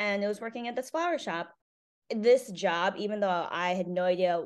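A woman talks at a fairly quick pace with ordinary pitch variation. She speaks with a Northeastern US accent. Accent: American (Northeast). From Connecticut, US. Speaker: florist and business owner. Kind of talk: interview. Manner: casual with frequent fillers.

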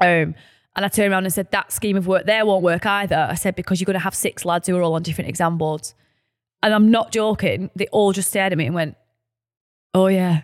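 In a Lancashire accent, a woman speaks very fast at a medium pitch with fairly even intonation, the sound dry and close with no echo on a very clean recording with a silent background. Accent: northern English, Lancashire. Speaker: podcast co-host and founder. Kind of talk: casual chat. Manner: informal, laughing, self-deprecating.

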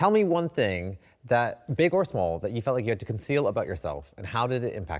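Vocal fry runs through a man's medium-pitched voice as he speaks at a fairly quick pace with very wide pitch swings, in a very clean recording with a silent background. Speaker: podcast co-host, TV personality and club night founder. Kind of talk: casual chat.

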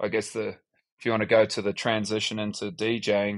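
In a New Zealand accent, the speaker talks at a moderate pace in a monotone, flat intonation over a quiet background. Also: man. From New Zealand, Upper Hutt. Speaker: DJ and music producer. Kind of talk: casual interview.

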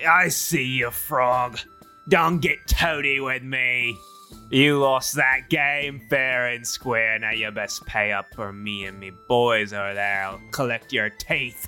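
Over clear music in the background, a man talks at a fairly slow pace and medium pitch, with ordinary pitch variation. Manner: belligerent, threatening.

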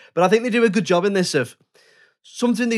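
On a very clean recording with a silent background, a man with an English accent speaks with ordinary pitch variation. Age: 30s. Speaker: podcast host. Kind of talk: casual chat.

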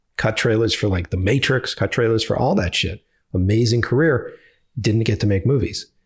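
A man with a Boston accent speaks in a somewhat breathy voice. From Boston, US. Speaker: filmmaker. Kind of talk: casual chat. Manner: animated.

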